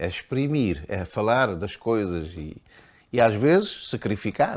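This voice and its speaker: Very wide pitch swings mark this man's fairly slow speech. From Cape Verde. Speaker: painter and writer. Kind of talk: interview answer. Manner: hesitant, repetitive.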